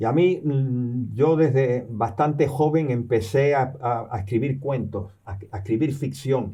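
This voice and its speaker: A man's voice, dark and mellow, comes across somewhat breathy. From born in New York, partly raised in Cuba and the US, Canarian family. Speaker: professor and novelist. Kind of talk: interview. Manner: halting, many repetitions and fillers.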